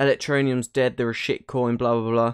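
There is a quiet background behind this man's speech. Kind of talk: casual vlog commentary. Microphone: studio mic.

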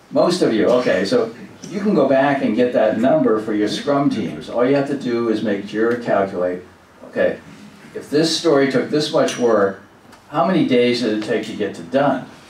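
A moderate pace with audible room echo and light background noise. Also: man. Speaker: presenter. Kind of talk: lecture. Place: meeting room.

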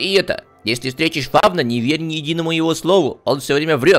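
In a put-on character voice with a fairly high pitch, a man talks at a very fast pace over faint music in the background.

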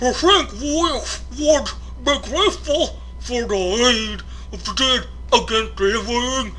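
A put-on character voice at a fairly slow pace, with clear background noise. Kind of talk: solemn, archaic fantasy speech.

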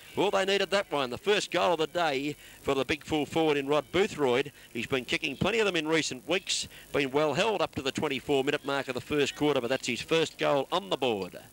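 Speaking at a fairly quick pace, a man with an Australian accent uses lively intonation and a fairly high pitch. The sound is dry and close with no echo. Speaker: football commentator. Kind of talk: live commentary.

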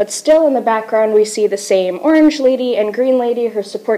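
With ordinary pitch variation, the talking proceeds at a moderate pace. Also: woman. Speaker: presenter. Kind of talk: class presentation. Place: classroom. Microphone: camera far.

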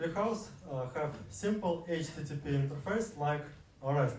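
Amid noticeable background noise and audible room echo, a man with a fairly high pitch and lively intonation talks at a fairly slow pace. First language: Russian. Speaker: software developer presenting at a meetup. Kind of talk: conference talk. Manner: halting, many fillers.

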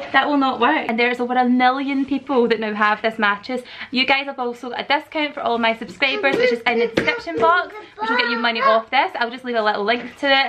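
Against light background noise, a woman talks very fast at a high pitch. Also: ordinary pitch variation. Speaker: family vlogger. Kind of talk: casual vlog chat, sponsored review. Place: home room. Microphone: phone near.

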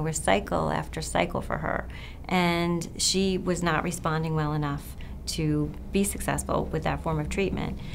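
Over light background noise, a woman with an American accent talks at a moderate pace. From Long Island, New York. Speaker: physician. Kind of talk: interview answers. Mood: warm, earnest. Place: office.

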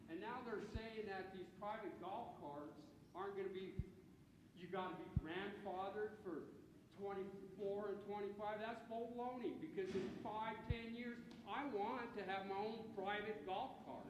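A loud man with a high pitch speaks at a fairly slow pace. There is audible room echo and noticeable background noise. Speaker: retired sheet metal worker, public commenter. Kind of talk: public comment at town hall. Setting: town hall meeting in civic center. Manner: repetitive, stammering starts.

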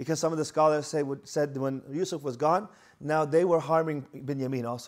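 Moderate-paced male speech over a quiet background. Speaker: religious lecturer. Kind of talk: lecture. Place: hall. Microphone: lapel.

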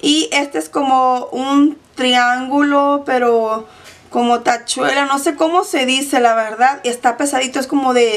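A woman's high-pitched voice at a fairly slow pace, with few pauses and fairly even intonation

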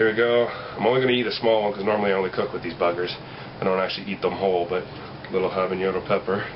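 Over noticeable background noise, a man rattles off words at a very fast pace, his intonation fairly even. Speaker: vlogger. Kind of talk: casual vlog chat. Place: home room. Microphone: webcam.

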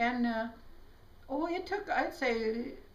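With an American accent, a woman talks very slowly in a high voice, her intonation lively. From South Dakota, USA. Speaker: chiropractor. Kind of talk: interview answer. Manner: hesitant, many fillers. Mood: reflective storytelling. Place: home room. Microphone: camera far.

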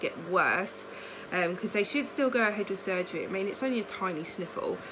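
A woman talks at a fairly quick pace. There is noticeable background noise behind her. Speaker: vlogger. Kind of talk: casual vlog chat. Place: home room. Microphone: phone near.

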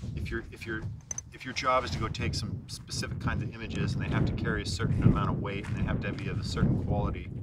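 Over loud background noise, a man talks at a very fast pace, the sound itself dry with no echo. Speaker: interviewee. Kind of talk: interview answer. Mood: reflective, earnest. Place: open country.

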